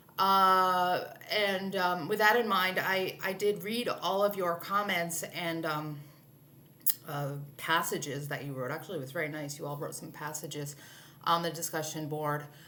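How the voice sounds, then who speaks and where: Over noticeable background noise and with audible room echo, a woman talks at a moderate pace in a fairly low pitch, with ordinary pitch variation and big swings in loudness. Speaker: literature instructor. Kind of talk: recorded lecture. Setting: alone in a room, video recording. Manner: halting, many fillers.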